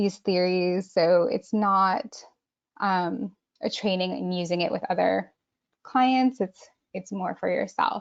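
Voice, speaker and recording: Speaking with an American accent, a woman keeps to a very slow pace. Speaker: art therapist. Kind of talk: webinar presentation and guided exercise. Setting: online webinar.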